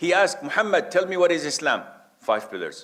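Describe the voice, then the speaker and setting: There is vocal fry in this man's voice. He talks at a moderate pace. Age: 60s. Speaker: Islamic preacher. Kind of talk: religious lecture.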